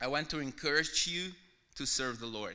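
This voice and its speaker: With a Mexican accent, a man speaks at a fairly slow pace in a bright, sharp tone and a fairly high pitch. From Mexico. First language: Spanish. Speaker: visiting pastor. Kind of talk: sermon-style testimony. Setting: church.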